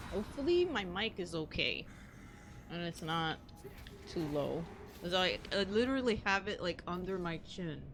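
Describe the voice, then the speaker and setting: A soft-spoken woman talks at a moderate pace and medium pitch, with ordinary pitch variation and long, frequent pauses. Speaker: gaming streamer. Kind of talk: casual gameplay commentary. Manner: quiet, not loud.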